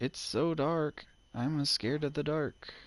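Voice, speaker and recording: A man speaks against a quiet background. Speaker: gamer streamer. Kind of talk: live gameplay commentary. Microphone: new headset.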